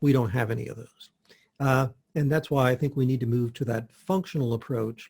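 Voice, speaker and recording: A man talks at a fairly quick pace in a medium-pitched, somewhat breathy voice with ordinary pitch variation. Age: 60s. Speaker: health practitioner. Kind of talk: interview.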